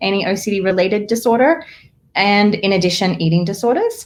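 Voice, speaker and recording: Speaking with an Australian accent, a woman uses a medium pitch and ordinary pitch variation. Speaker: therapist. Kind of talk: live-streamed interview chat. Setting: live video stream.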